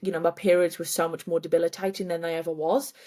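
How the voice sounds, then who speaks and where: With an English accent, a woman talks at a very fast pace. Her pitch is fairly low. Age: 20s. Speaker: endometriosis advocate and event founder. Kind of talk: interview testimony.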